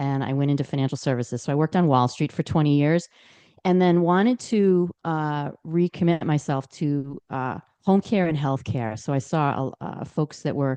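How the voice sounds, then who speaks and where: A woman with an American accent speaks in a very deep, low pitch and a dark, mellow tone, at a moderate pace with ordinary pitch variation. The sound is dry and close with no echo, against a quiet background. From Boston, Massachusetts. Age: 60s. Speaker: aging advocate and business owner. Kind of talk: podcast interview. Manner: halting with fillers.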